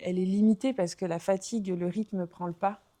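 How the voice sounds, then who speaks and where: In a strong southern French accent, a woman speaks at a medium pitch with fairly even intonation and a dark, mellow tone. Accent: strong Aveyron (southern French). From southwest France, Aveyron. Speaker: former professional basketball player. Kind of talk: podcast interview. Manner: hesitant, many fillers.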